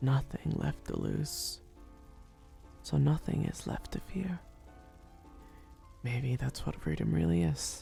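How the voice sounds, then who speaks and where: A man whispers in a soft-spoken, gentle tone, very slowly and with long, frequent pauses, as music plays in the background. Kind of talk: ASMR roleplay, soft spoken comforting talk to listener. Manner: soft-spoken, gentle, whispery.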